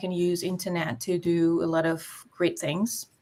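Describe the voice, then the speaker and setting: A woman with a non-native accent. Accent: foreign, non-native English. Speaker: online business entrepreneur. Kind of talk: casual interview conversation.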